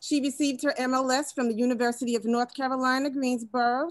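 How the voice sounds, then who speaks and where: The sound is dry with no echo as a woman speaks at a high pitch. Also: quiet background. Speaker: panel moderator. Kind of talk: webinar introduction, partly read. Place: office. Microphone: video call.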